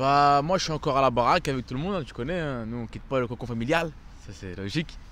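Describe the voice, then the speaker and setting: This man's pitch shows ordinary variation. He speaks at a very fast pace. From France, Aubervilliers (Seine-Saint-Denis, Paris suburbs). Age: 20s. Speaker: amateur actor and camera operator. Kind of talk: casual interview. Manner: casual, hesitant with many fillers.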